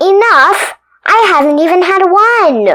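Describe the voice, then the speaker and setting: In a put-on character voice, a woman speaks loud and squeaky at an extremely high pitch, with lively intonation and a fairly slow pace. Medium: read story. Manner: brash, demanding.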